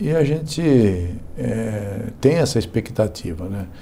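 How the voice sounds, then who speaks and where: A man's voice of medium pitch. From Brazil, São Paulo state. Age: 60s. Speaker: politician. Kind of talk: interview. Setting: studio.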